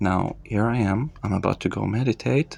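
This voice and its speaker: A man with a non-native accent talks at a moderate pace. His pitch is fairly low, with ordinary variation. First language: not English. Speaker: meditation practitioner / content creator. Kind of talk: casual walkthrough narration. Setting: home, evening. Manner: calm; halting.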